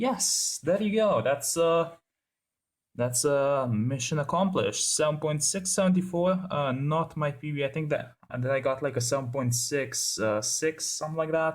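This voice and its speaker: A man with a fairly high pitch speaks at a moderate pace in a somewhat breathy voice, with ordinary pitch variation. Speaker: gaming YouTuber. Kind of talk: gameplay commentary. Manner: casual, filler-heavy.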